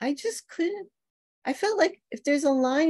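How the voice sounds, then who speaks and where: Her tone dark and mellow, a woman speaks with an American accent. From New York City. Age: 60s. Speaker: novelist. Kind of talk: author Q&A. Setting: video call.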